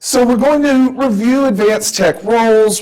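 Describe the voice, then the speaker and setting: This man has a Southern accent. He talks at a moderate pace. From US South. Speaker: professor. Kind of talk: lecture. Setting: stage with audience.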